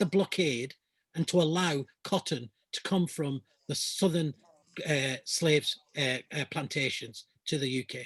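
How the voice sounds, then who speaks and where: A man with a Lancashire accent speaks at a very slow pace in a fairly high pitch, his voice dry and close with no echo over a quiet background. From Lancashire, northern England. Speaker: climate justice activist. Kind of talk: Q&A answers in an online talk. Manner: halting, many repetitions.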